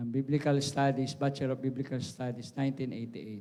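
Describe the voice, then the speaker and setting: This man's voice sits at a fairly high pitch. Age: 60s. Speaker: pastor. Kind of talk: sermon. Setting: church. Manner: halting.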